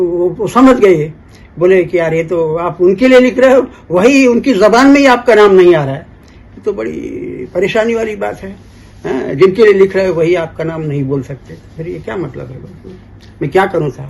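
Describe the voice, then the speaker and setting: Over noticeable background noise, a man talks with lively intonation at a high pitch. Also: moderate pace. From Bastar, Chhattisgarh (family from Aligarh). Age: 70s. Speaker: folk poet and lyricist. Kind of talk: interview, storytelling. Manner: halting, with repetitions.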